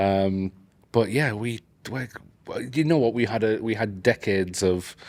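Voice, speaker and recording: A fairly low-pitched man with a Geordie accent, ordinary pitch variation, and long, frequent pauses. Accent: northern English (Geordie), clearly audible. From northeast England, Newcastle. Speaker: AI educator. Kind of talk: casual interview. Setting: at a conference.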